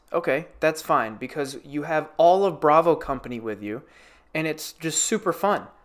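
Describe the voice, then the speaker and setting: A man speaks with a fairly high pitch. His pace is moderate. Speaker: gaming YouTuber and streamer. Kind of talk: casual video game review monologue. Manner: animated, energetic.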